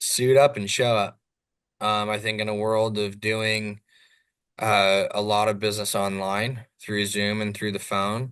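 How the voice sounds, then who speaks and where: This man talks at a fairly slow pace in a fairly low pitch. His intonation is monotone and flat. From Southern California. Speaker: real estate developer. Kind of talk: podcast interview. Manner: loud.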